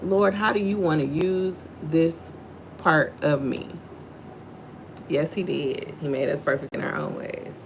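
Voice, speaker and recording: A fairly low-pitched woman with an American accent and ordinary pitch variation, amid noticeable background noise. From Texas, Houston. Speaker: livestream host, faith devotional. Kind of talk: devotional livestream talk.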